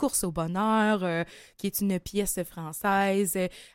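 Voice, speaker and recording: In a very clean recording with a silent background and a dry, close sound with no echo, a woman with a Quebec accent speaks at a medium pitch with fairly even intonation. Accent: Québécois French. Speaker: singer-songwriter. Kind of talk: interview.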